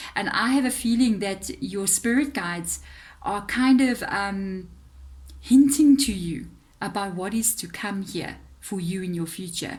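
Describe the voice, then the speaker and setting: A woman speaks in a South African accent at a medium pitch, with ordinary pitch variation. Her voice is somewhat breathy. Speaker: tarot reader. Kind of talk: tarot reading monologue. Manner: hesitant fillers, conversational.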